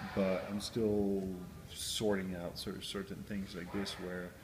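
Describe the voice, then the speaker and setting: Audible room echo surrounds a man speaking in a fairly low pitch with monotone, flat intonation. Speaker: professional cyclist. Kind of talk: interview. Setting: on location at race. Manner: halting; loud.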